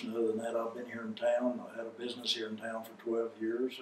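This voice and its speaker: With audible room echo and noticeable background noise, a man with an American accent speaks in a medium pitch with monotone, flat intonation. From Oklahoma (Claremore). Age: 70s. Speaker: oral history interviewee. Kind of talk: oral history interview.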